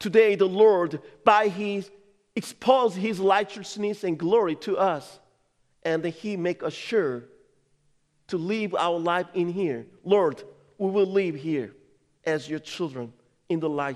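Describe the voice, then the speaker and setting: With a Korean accent, a man talks at a very slow pace in a high pitch, with ordinary pitch variation and long, frequent pauses. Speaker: pastor. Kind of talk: sermon. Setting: church.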